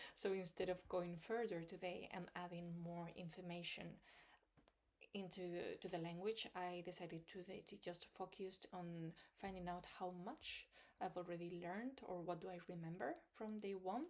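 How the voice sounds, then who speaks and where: A woman in a Spanish accent speaks at a moderate pace, her fairly low pitch held to a fairly even intonation. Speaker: language learning vlogger. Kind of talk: video diary. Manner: hesitant, many fillers.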